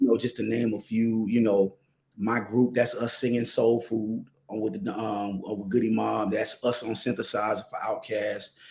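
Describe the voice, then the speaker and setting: A man with an American accent, monotone and flat in intonation. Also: medium pitch for a man, moderate pace. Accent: Atlanta accent, toned down here. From US South, Atlanta (Southwest Atlanta). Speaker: singer-songwriter. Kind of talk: interview. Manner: halting, many fillers.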